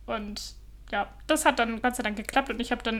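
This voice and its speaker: A woman speaks with a fairly high pitch. Her voice has vocal fry. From Germany. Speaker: podcaster living abroad. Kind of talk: casual chat.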